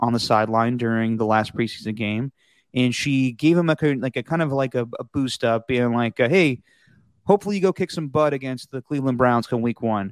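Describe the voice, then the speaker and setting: An ordinary speaking voice with ordinary pitch variation comes through with a dry, close sound with no echo on a very clean recording with a silent background. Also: man. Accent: American. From Texas. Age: 30s. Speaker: sports podcast host. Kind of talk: casual chat.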